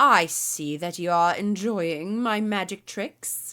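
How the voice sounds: A female-sounding, booming put-on character voice sits at a middle pitch and moves at a fairly slow pace. The recording is very clean, with a silent background.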